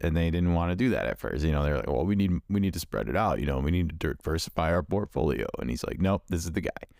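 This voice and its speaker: A man's very deep, low voice with vocal fry and lively intonation, at a very fast pace with hardly any pauses, in a very clean recording with a silent background. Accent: American. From Chicago, US Midwest. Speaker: podcast host. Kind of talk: casual chat.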